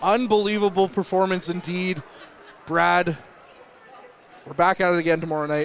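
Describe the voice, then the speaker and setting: A man's high-pitched voice at a moderate pace, fairly even in intonation, with long, frequent pauses and noticeable background noise. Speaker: hockey play-by-play commentator. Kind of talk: live sports commentary. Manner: loud.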